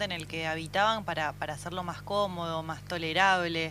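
With music in the background, a woman speaks at a moderate pace in a fairly low pitch with ordinary pitch variation. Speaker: radio host. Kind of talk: casual chat.

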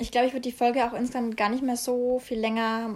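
Her pitch fairly high, a woman talks at a fairly quick pace in a flat monotone. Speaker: podcast host, student. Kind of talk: casual chat.

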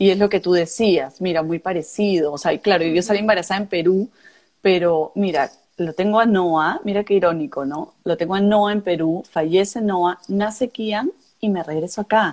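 Speaking at a moderate pace, a woman has an ordinary speaking voice of medium pitch with ordinary pitch variation. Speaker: podcast co-host. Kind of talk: casual chat.

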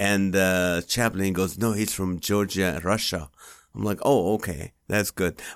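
A man with a non-native accent speaks fairly slowly in a very deep, low pitch with fairly even intonation, on a very clean recording with a silent background. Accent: foreign-accented English. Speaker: comedian and podcast host. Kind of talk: interview. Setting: studio.

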